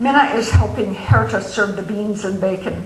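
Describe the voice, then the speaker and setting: Noticeable background noise beneath ordinary pitch variation. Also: woman. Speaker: author. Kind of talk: novel reading.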